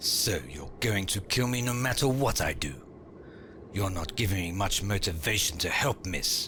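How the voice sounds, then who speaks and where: Over clear background noise, a man does a put-on character voice at a moderate pace and a fairly low pitch. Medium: fan dub. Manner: dignified and defiant.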